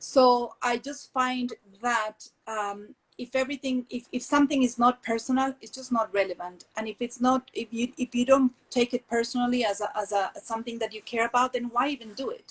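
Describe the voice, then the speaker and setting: A woman's high voice in a Colombian accent, at a moderate pace with hardly any pauses, fairly even intonation, big swings in loudness, and a dry, close sound with no echo. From Colombia, Medellín. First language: Spanish. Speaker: textile entrepreneur. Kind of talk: interview conversation. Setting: video call. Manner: halting, many fillers.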